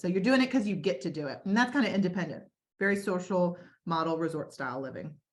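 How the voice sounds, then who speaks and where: Somewhat breathy and medium in pitch, a woman speaks at a fairly quick pace. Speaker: senior living community staff presenter. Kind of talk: webinar presentation. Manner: fast.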